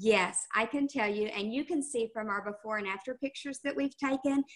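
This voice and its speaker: A woman with a fairly high pitch and ordinary pitch variation talks at a moderate pace against a quiet background. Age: 60s. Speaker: skincare sales consultant; presenter. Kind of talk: product talk on a team call. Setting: video call. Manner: hesitant, many fillers. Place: home room. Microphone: webcam.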